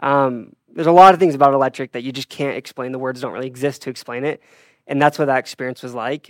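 A man speaks in a normal speaking voice at a medium pitch, with fairly even intonation and a dry, close sound with no echo on a very clean recording over a silent background. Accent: American. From Utah. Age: 20s. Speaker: marketing and sales staff at an electric vehicle company. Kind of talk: casual chat.

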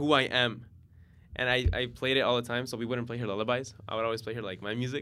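An unremarkable speaking voice from a man, medium in pitch, at a fairly quick pace. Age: 20s. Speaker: DJ and music producer. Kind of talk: casual interview.

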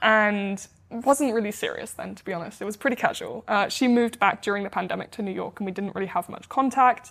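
A woman's fairly high voice with a British accent, very fast pace, ordinary pitch variation and big swings in loudness. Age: 20s. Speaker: startup founder, former pro tennis player. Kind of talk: interview. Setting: in person, New York.

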